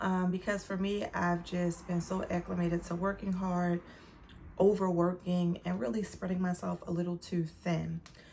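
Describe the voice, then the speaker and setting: In a dark, mellow tone, a woman speaks somewhat breathily at a fairly low pitch and a moderate pace, with monotone, flat intonation. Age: 30s. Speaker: lifestyle vlogger. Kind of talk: casual talk to camera.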